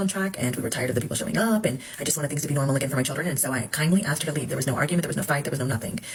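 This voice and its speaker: A woman's very deep, low voice at a very fast pace, ordinary pitch variation, noticeable background noise. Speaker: social media personality's former host. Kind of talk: self-recorded video statement. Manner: halting, many fillers after stroke.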